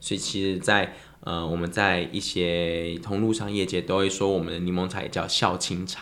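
There is audible room echo as a man speaks at a moderate pace in a very deep, low pitch with monotone, flat intonation. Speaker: lemon tea business owner. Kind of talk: casual chat.

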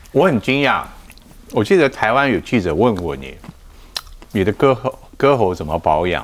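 His pitch sits in a medium range for a man yet swings very widely. The man talks at a fairly slow pace with long, frequent pauses. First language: Mandarin Chinese (speaking Japanese). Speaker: talk show host. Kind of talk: casual interview.

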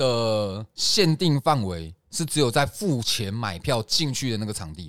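Recorded very cleanly against a silent background with a dry, close sound and no echo, a man at medium pitch speaks fairly slowly, his pitch swinging very widely and his loudness rising and falling sharply. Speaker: podcast host. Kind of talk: casual chat; heated debate.

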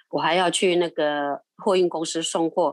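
Against a quiet background, a woman with a plain, everyday voice speaks at a fairly low pitch with ordinary pitch variation. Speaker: retired grandmother, volunteer. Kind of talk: interview storytelling. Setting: recording from home.

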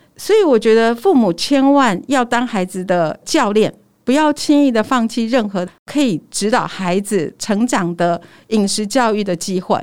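This woman's fairly high voice carries lively intonation at a fairly slow pace. The recording is very clean, the background silent. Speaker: nutritionist. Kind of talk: casual interview chat. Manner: smiling but firm.

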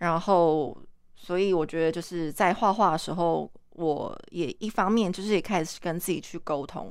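A woman with an ordinary speaking voice talks at a moderate pace and a fairly low pitch, her intonation fairly even, in a very clean recording with a silent background. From Taiwan, Kaohsiung. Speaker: artist. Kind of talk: casual chat. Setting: studio.

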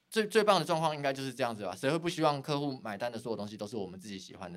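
Lively intonation marks this man's medium-pitched voice, captured in a very clean recording with a silent background. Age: 30s. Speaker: graphic designer, design studio founder. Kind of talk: casual interview chat. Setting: at the guest's design studio. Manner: formal at first.

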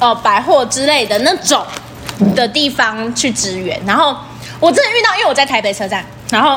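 A woman with a high voice speaks loudly and with lively intonation at a moderate pace. She leaves long, frequent pauses, with noticeable background noise behind her. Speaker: podcast co-host, service worker. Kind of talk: casual chat. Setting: empty shop after hours.

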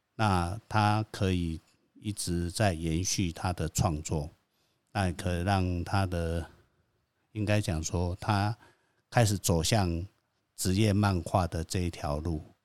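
A man with a very deep, low pitch speaks at a very slow pace with long, frequent pauses and fairly even intonation. The sound is dry and close with no echo, on a very clean recording with a silent background. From Taiwan, Hsinchu (Xiangshan). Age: 50s. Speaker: founder of a comic convention. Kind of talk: interview. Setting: organization headquarters. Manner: terse.

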